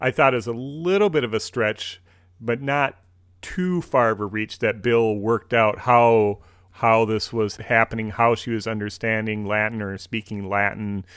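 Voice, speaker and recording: A man speaks with a Minnesotan accent and ordinary pitch variation. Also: medium pitch for a man, moderate pace. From US Midwest, Minnesota. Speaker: podcast host. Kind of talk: casual chat.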